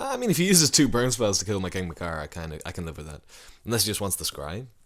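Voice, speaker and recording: The pace is very fast, with lively intonation and big swings in loudness. The recording is very clean, with a silent background. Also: man, fairly low pitch for a man. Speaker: Magic card game streamer. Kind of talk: live gameplay commentary.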